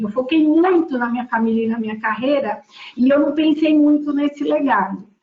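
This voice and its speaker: Noticeable background noise beneath a woman's lively intonation. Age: 60s. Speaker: board member. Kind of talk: panel discussion. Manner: halting.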